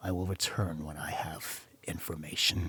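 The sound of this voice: A man's put-on character voice, very deep and low, croaky and hoarse, with monotone, flat intonation. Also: moderate pace.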